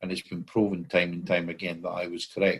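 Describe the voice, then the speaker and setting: A man with a Scottish accent speaks in a very deep, low voice. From Scotland. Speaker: common law court founder. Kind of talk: interview. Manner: hesitant, many fillers.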